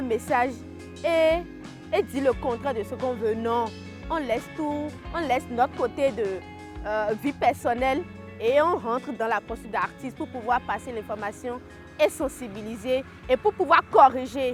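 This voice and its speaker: Music plays in the background as a woman with a high pitch talks at a moderate pace, using lively intonation and long, frequent pauses. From Benin. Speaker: slam poet and storyteller, activist. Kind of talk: interview answer.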